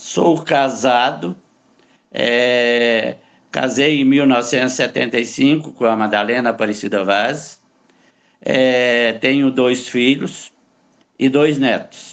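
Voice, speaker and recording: Very slowly and with long, frequent pauses, a man speaks at medium pitch with fairly even intonation and very even loudness. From Brazil, Goiás (Catalão). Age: 70s. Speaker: retired lawyer, patient. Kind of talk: interview testimony.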